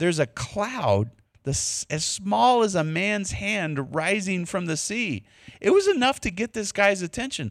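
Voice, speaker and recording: A man talks in a high voice with a Texas accent at a fairly slow pace. The sound is dry and close, with no echo. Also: lively intonation. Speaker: preacher. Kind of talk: sermon. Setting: church.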